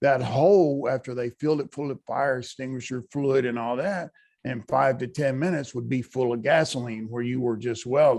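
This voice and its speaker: With an American accent, a man talks at a moderate pace in a normal speaking voice, medium in pitch, with fairly even intonation. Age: 60s. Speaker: pipe welder, audience member. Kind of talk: Q&A at virtual conference.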